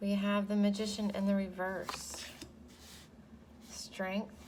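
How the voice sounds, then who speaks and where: A woman speaks quietly at a very slow pace, her somewhat breathy voice at a medium pitch. Audible room echo surrounds her. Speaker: tarot reader. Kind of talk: tarot reading. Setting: home. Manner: hesitant, many fillers.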